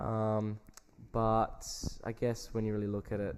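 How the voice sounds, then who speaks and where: A man with an Australian accent speaks in a flat, monotone delivery. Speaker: podcast co-host. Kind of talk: casual chat.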